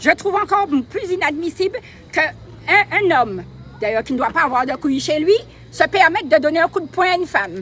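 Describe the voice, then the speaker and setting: Over noticeable background noise, the speaker talks at a fairly quick pace in an animated tone with very wide pitch swings. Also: woman, extremely high pitch for a woman. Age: 60s. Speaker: protest supporter. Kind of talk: impassioned public speech.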